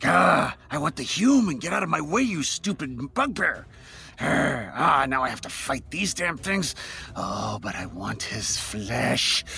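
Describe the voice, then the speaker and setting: Growling in a put-on character voice, a man speaks at a fairly slow pace over light background noise. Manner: growling, hungry.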